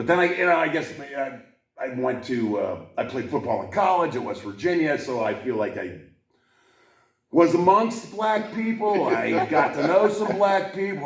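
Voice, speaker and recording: A man with a fairly high pitch speaks at a moderate pace, with audible echo from the room. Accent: American. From Pittsburgh area, US. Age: 60s. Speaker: podcast host. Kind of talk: casual chat.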